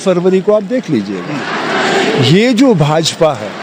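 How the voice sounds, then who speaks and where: A man with a high pitch speaks with lively intonation. Noticeable background noise runs underneath. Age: 60s. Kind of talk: interview. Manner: animated.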